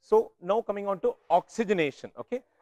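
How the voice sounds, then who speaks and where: A loud man talks at a fairly quick pace with ordinary pitch variation, the sound dry and close with no echo. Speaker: neonatal ventilation workshop lecturer. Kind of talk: lecture. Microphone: speaking without a microphone.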